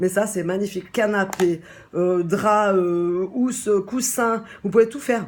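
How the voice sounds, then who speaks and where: Animated in tone, a woman speaks at a fairly high pitch with ordinary pitch variation. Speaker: shop owner presenting a product. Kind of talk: casual product presentation. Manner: fast.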